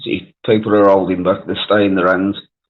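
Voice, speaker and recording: A man speaks in a Birmingham accent. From Wales. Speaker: live stream panelist. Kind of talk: casual chat.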